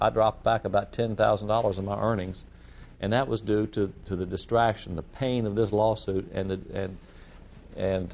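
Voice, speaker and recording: A man's fairly low-pitched voice with fairly even intonation. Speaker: real estate broker and risk management instructor. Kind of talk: lecture. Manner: fast; halting, many repetitions.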